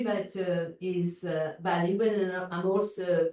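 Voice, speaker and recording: A woman is speaking. She has a strong Mauritian accent. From Mauritius. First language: French. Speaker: visual artist. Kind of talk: interview. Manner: halting, many fillers and repetitions.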